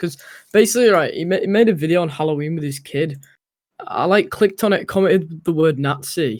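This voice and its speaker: A man talks at a fairly quick pace in a British accent, with ordinary pitch variation. The recording is very clean, with a silent background. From UK. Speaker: stream guest. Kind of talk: casual chat.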